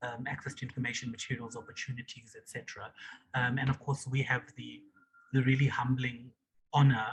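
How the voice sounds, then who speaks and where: A man's medium-pitched, somewhat breathy voice, fairly quick and monotone, with big swings in loudness. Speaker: civil society organization leader. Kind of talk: online meeting remarks.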